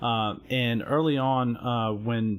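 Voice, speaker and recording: Speaking with an Alabama accent, a man keeps his intonation fairly even. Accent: Southern US (Alabama). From US South, Alabama. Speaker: gaming stream panelist. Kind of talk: live stream panel discussion. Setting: live stream. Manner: halting, many fillers and repetitions.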